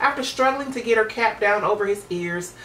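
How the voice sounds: A woman talks at a fairly quick pace, her pitch medium and her tone fairly bright. Her pitch varies in an ordinary way, with faint background noise behind her.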